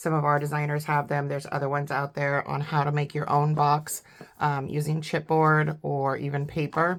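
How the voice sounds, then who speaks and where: Monotone, flat intonation at a moderate pace. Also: woman, very deep, low pitch for a woman. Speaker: papercraft designer. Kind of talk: tutorial. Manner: casual, hesitant with fillers.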